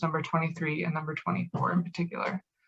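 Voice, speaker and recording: Talking at a very fast pace, a woman with a Canadian accent has a fairly low pitch and a bright, sharp tone. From Canada, Hamilton Ontario. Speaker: event host. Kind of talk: formal welcome speech. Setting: video call. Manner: formal.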